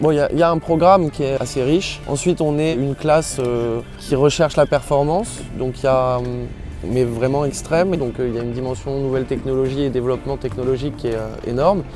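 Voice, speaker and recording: A man speaks at a medium pitch and a fairly quick pace, with ordinary pitch variation. Music plays in the background. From Paris region, France. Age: 20s. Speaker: professional sailor. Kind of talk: interview. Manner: hesitant, with frequent fillers.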